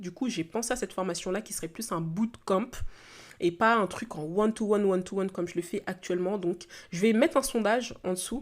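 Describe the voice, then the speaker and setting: A woman of medium pitch at a very fast pace, ordinary pitch variation, very clean recording and silent background. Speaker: entrepreneur and podcast host. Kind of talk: solo podcast monologue. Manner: hesitant, many fillers.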